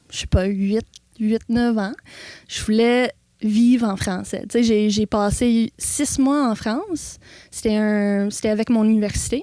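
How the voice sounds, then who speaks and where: Speaking with an English Canadian accent at a very slow pace, a woman has a fairly high pitch, a dark, mellow tone and fairly even intonation. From Ontario, Canada. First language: English (speaking French). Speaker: animal sanctuary owner. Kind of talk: interview.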